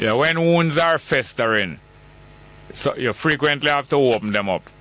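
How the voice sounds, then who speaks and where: Over noticeable background noise, a man with a fairly high pitch speaks at a moderate pace. His intonation is lively and his loudness very even. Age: 60s. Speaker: radio talk show host. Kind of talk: call-in radio show.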